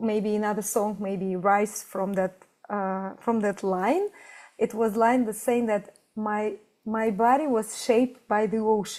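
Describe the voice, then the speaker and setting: With a non-native accent, a woman talks at a fairly slow pace in a fairly high voice with fairly even intonation, on a very clean recording with a silent background. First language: not English. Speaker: fashion designer and musician. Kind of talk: interview conversation. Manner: halting.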